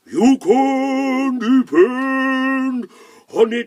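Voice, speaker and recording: This put-on character voice sits at a high pitch. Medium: read story. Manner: proud, drawn-out.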